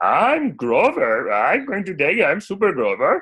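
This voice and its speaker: A put-on character voice delivers its lines at a fairly high pitch and a moderate pace. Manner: voice impression.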